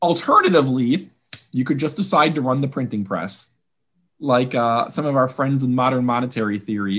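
A man's medium-pitched, normal speaking voice with an American accent, lively intonation, a moderate pace and a quiet background. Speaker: budget policy economist. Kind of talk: interview.

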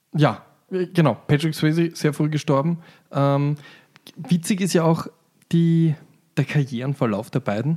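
Long, frequent pauses break up this man's speech. His tone is dark and mellow. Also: fairly high pitch for a man, ordinary pitch variation, fairly slow pace. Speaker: film podcast host. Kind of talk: casual chat. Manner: loud; animated.

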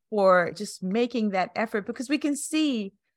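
Lively intonation runs through an ordinary speaking voice. The recording is very clean, with a silent background. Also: woman. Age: 50s. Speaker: podcast host and life coach. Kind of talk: scripted narration; interview.

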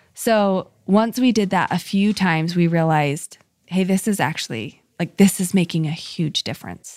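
A woman has an ordinary speaking voice, pitched fairly low, with ordinary pitch variation. She speaks at a moderate pace. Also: very clean recording, silent background. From Utah, Salt Lake City. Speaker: charity founder and podcast host. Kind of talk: interview.

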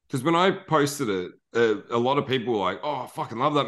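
In an Australian accent, a man talks at a fairly quick pace with lively intonation against a quiet background. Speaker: podcast host. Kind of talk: casual chat.

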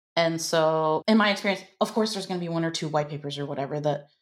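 A plain, everyday voice from a woman with an American accent, fairly low pitch and ordinary pitch variation on a very clean recording with a silent background. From United States. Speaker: growth marketing consultant. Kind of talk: podcast interview.

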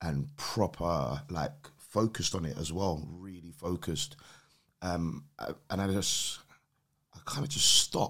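With a very deep, low pitch and very wide pitch swings, a man speaks fairly slowly on a very clean recording with a silent background. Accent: London. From London, England. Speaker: podcast guest. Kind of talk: casual chat.

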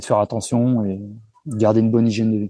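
A man's dark, mellow tone at a fairly low pitch, with fairly even intonation and a dry, close sound with no echo. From Paris region, France (Seine-et-Marne). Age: 40s. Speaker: renovation contractor and property investor. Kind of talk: casual interview. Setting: remote call from seaside in Spain.

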